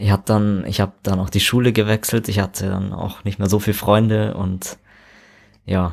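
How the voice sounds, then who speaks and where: A man talks at a moderate pace in a fairly low, monotone voice with flat intonation. The recording is very clean, with a silent background. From Immenstadt, Allgäu, Bavaria. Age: 20s. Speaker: interview guest. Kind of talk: interview.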